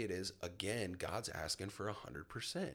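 At a moderate pace, a man speaks with vocal fry. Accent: American. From US South, Florida panhandle (Milton, near Pensacola). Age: 30s. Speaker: churchgoer sharing faith testimony. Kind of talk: personal testimony.

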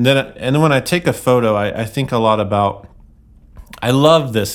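A man speaks at a moderate pace with ordinary pitch variation. It is a normal speaking voice. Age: 40s. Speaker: guitar pedal company founder and photographer. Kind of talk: casual chat. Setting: live event, portable podcast rig.

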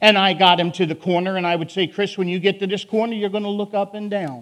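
Speaking at a fairly quick pace, a man talks in a Philadelphia accent. His pitch is high, with ordinary variation. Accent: Philadelphia, northern US. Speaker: prison ministry preacher. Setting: church sermon. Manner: loud, emotional.

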